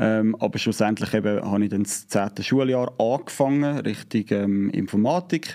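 Against a quiet background, a man with a Zurich accent talks at a moderate pace with hardly any pauses, his fairly low pitch showing ordinary variation. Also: very even loudness. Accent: Swiss German, Zurich dialect. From Switzerland, Zurich Oberland. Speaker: YouTuber, inline skater. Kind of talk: casual interview chat. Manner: hesitant, many filler sounds.

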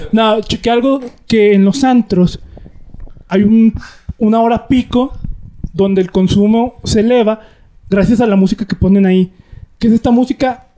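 A man with a Mexican accent speaks fairly slowly at a high pitch, with long, frequent pauses. His loudness stays very even, and the sound is dry and close with no echo. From rural Mexico. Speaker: podcast co-host. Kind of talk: casual chat.

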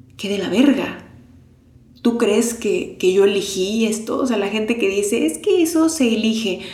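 Her pitch fairly high and her intonation lively, a woman speaks at a fairly slow pace amid noticeable background noise and audible room echo. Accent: Mexican. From Mexico. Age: 30s. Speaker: podcast host. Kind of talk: personal testimony. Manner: unscripted, conversational.

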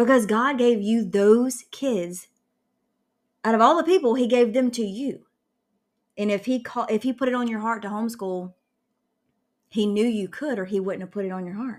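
A woman with a Southern US accent speaks at a moderate pace with ordinary pitch variation, in a very clean recording with a silent background. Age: 30s. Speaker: podcast host, homeschooling mom. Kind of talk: casual chat.

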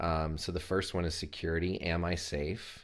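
A man with an American accent, very deep and low in pitch, at a fairly slow pace with monotone, flat intonation. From US South, Chattanooga, Tennessee. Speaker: men's self-care coach. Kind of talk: casual interview chat. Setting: video call.

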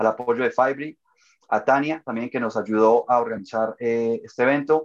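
A man with a medium-pitched voice talks at a moderate pace with fairly even intonation against a quiet background. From Colombia. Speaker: webinar moderator, association board member. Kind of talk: webinar panel moderation. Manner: hesitant, many fillers.

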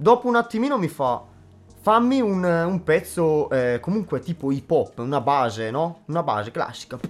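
This man has a high voice with very wide pitch swings and talks at a moderate pace. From northern Italy, Brescia province. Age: 20s. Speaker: beatboxer. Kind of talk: casual interview. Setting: studio.

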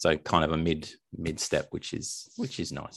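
A man with an Australian accent speaks at a fairly slow pace, his intonation lively. The recording is very clean, with a silent background. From Australia, Melbourne. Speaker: indie author. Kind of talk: interview.

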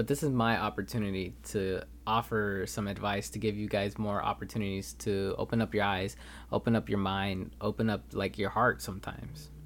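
A man with a Californian accent speaks at a fairly low pitch. The recording is very clean and the background silent. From Los Angeles, California. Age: 20s. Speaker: podcast host, college student. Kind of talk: solo podcast monologue.

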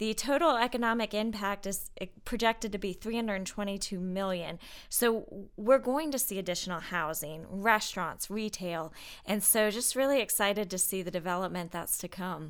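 A woman's plain, everyday voice with an American accent, medium in pitch with ordinary variation, at a moderate pace, in a very clean recording with a silent background. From US South, Atlanta area. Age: 30s. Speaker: economic development director. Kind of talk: casual interview chat. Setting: studio.

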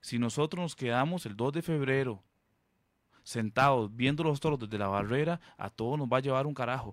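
Here a man with a normal speaking voice talks at medium pitch and a moderate pace. His pitch varies normally, and the recording is very clean with a silent background. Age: 30s. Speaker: political candidate. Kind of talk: radio interview.

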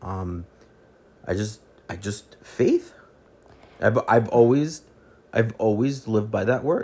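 With a dark, mellow tone, a man speaks very slowly in a somewhat breathy voice. Ordinary pitch variation runs through his speech, broken by long, frequent pauses. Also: medium pitch for a man. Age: 20s. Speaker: host's fiancé. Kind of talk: casual chat.

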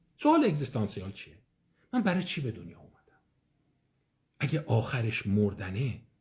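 The man's somewhat breathy, medium-pitched voice moves at a fairly quick pace. His pitch swings very widely. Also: long, frequent pauses, big swings in loudness. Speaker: psychiatrist giving an online lecture. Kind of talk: lecture. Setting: online live session. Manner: conversational.

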